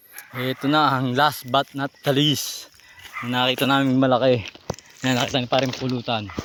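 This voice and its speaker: There is noticeable background noise behind this man. His delivery is monotone and flat, at a moderate pace. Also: medium pitch for a man. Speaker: vlogger hunting spiders. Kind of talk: casual vlog narration.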